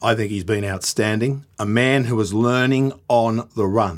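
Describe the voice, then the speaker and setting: A man speaks at a fairly slow pace with medium pitch and ordinary pitch variation. The recording is very clean, with a silent background. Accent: Australian. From Australia. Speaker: boxing podcast host. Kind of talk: casual chat. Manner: animated.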